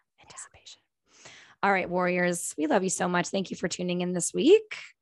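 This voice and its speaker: On a very clean recording with a silent background, a woman talks at a fairly quick pace. Her pitch is fairly low, and her tone is animated. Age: 40s. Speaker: podcast host, teacher. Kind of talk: casual chat.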